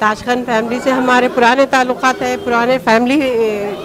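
The speaker keeps a moderate pace with little pitch movement over faint background noise. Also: woman.

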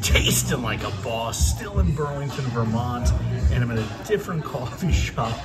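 A man talking at a fairly quick pace over background music. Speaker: coffee reviewer. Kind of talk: casual vlog chat. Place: cafe. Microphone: phone near.

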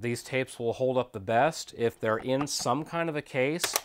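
Light background noise sits behind the voice. The speaker is a man. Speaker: video transfer business host. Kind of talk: tutorial. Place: home room.

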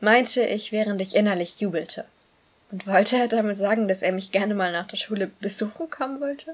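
A natural voice reading aloud, with ordinary pitch variation.

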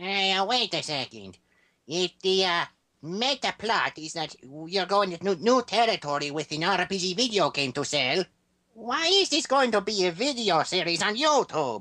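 This female-sounding voice is a put-on character voice at a middle pitch. It moves at a moderate pace. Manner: hesitant, rambling with many fillers.

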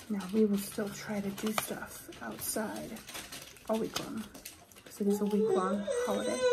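A soft-spoken woman whispers at a moderate pace, with long, frequent pauses. Loud background noise runs behind her. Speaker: ASMR creator. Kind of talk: soft-spoken ASMR craft chat. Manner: soft-spoken, whispered. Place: home room. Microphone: phone near.

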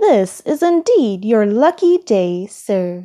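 In a very clean recording with a silent background, a woman uses a put-on character voice at a slow pace. Her fairly high, dark, mellow tone makes big pitch swings.

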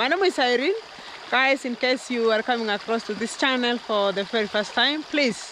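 Over noticeable background noise, a woman talks in a raised, projected voice at a moderate pace with lively intonation, the sound dry with no echo. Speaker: vlogger. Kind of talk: casual vlog chat. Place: forest. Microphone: phone near.

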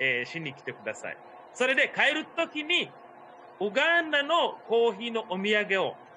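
The voice moves at a moderate pace with very wide pitch swings and big swings in loudness. Light background noise sits underneath. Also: man. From Uganda. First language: not Japanese (speaking Japanese). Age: 40s. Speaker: tour guide. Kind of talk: online tour guiding. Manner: hesitant with fillers. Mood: friendly, cheerful. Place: home room. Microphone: video call.

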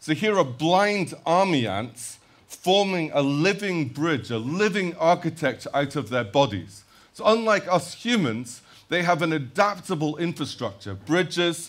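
At a fairly slow pace, a man talks with vocal fry. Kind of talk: lecture. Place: stage.

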